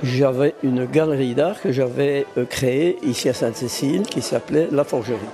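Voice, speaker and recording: Noticeable background noise sits under a man's voice. He speaks at a fairly slow pace in a medium pitch with ordinary pitch variation. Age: 80s+. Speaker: art blacksmith and sculptor. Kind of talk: interview.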